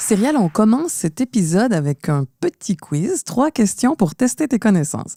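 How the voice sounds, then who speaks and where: Dark, mellow female voice at medium pitch, with very wide pitch swings and a moderate pace, dry and close with no echo, in a very clean recording against a silent background. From Quebec, Montreal. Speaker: podcast co-host. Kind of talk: scripted podcast chat.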